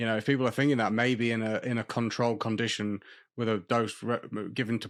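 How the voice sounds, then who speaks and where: A man with an East Midlands accent speaks at a medium pitch in a very clean recording with a silent background. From England, Lincolnshire (Horncastle). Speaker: podcast host. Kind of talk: interview.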